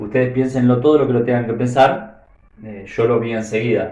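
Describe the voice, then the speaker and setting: A man with an Argentine accent at a medium pitch. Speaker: math teacher. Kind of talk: math tutorial explanation.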